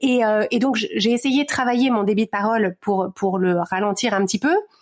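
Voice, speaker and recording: A woman with a fairly high pitch and ordinary pitch variation keeps her loudness very even, with a dry, close sound with no echo and noticeable background noise. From Paris region, France. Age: 40s. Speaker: podcaster and life coach. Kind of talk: interview. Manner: fast; hesitant, many fillers and repetitions.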